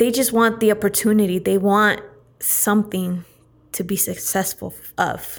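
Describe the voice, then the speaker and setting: Over a very clean recording with a silent background, a woman speaks at a moderate pace and medium pitch in a monotone, flat intonation. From Central California (Turlock). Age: 20s. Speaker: entrepreneur. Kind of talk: casual interview.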